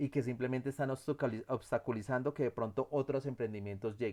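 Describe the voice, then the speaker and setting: A man speaks with a medium pitch and ordinary pitch variation. The background is silent and the recording very clean. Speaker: instructor. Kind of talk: lecture. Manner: fast; halting.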